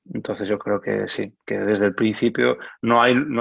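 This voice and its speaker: Vocal fry marks the fairly low-pitched voice of a man as he talks. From Galicia, Spain (Coruña and Lugo). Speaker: orchestral clarinetist. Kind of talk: casual interview. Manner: halting, many repetitions; calm.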